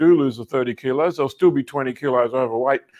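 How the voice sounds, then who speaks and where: A man with an Australian accent, medium pitch, and fairly even intonation. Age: 70s. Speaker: personal development coach. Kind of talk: interview.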